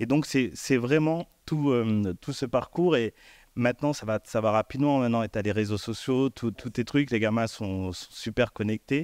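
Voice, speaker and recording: Fairly slow speech comes from a man with ordinary pitch variation. The sound is dry, with no echo and a quiet background. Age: 50s. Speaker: elected official and former hip-hop dancer; guest. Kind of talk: panel discussion. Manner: halting. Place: stage. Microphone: handheld.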